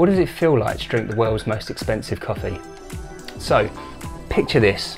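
A man talks at a moderate pace with clear music playing in the background. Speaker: coffee channel host. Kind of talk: casual vlog chat. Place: home room.

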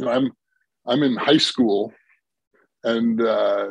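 Speaking at a moderate pace with fairly even intonation, a man comes through dry with no echo against a quiet background. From Milwaukee, Wisconsin. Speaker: tech company founder and CEO. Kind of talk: casual interview. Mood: warm, reflective. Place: home room. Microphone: video call.

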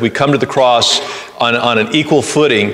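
This man talks at a fairly quick pace with fairly even intonation. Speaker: pastor. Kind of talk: sermon. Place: church.

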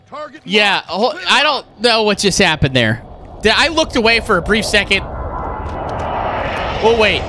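A man's high-pitched voice with lively intonation at a moderate pace, over noticeable background noise. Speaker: live game commentator / streamer. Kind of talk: live game commentary. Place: home room.

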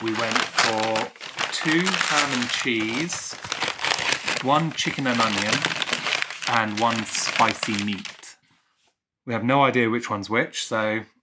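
A man's voice against noticeable background noise. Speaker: travel vlogger. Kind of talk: casual vlog chat. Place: home room.

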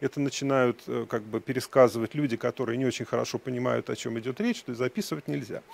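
Very fast and dry with no echo, a man's voice moves with ordinary pitch variation. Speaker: education data researcher; speaker. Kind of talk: conference talk. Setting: stage with audience. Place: hall.

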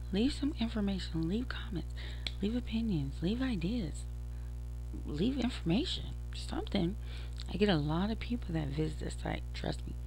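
Over music in the background, a woman with a very deep, low pitch speaks at a moderate pace in a flat monotone, with a dry sound and no echo. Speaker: podcaster. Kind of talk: casual vlog chat. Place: home room. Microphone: headset.

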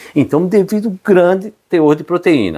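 A man is speaking. The background is quiet. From Brazil. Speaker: university professor. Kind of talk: educational demonstration, explaining. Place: kitchen. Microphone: lapel.

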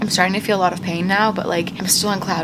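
A woman speaks over loud background noise. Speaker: new mother vlogger. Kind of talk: casual vlog chat. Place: home room. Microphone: phone near.

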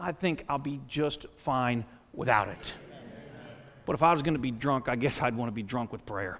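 With long, frequent pauses, a man talks at a moderate pace with ordinary pitch variation over light background noise. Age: 40s. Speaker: pastor. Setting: church sanctuary before a congregation. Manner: conversational asides with filler words like uh; earnest, rising exhortation with repeated rhetorical questions. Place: church. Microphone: headset.

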